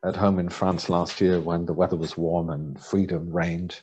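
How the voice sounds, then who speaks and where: A man's very deep, low voice with a dark, mellow tone. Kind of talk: presentation. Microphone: webcam.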